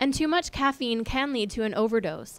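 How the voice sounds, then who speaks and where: A woman talks at a fairly quick pace and a fairly high pitch, with ordinary pitch variation. Music plays in the background. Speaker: TV news reporter. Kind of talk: broadcast news reporter package and stand-up.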